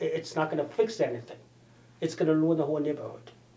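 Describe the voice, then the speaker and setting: A man with a Chinese accent, high-pitched, with ordinary pitch variation and a dark, mellow tone. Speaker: political candidate. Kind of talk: interview. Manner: halting, with frequent repetitions.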